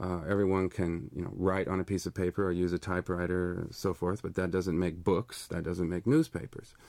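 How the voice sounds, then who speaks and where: On a very clean recording with a silent background, a man with a very deep, low pitch talks at a fairly quick pace with fairly even intonation. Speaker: media arts scholar and author. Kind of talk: lecture-style talk, live radio interview. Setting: live radio studio broadcast. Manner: measured, thoughtful, hesitant with many fillers; explanatory, earnest, professorial.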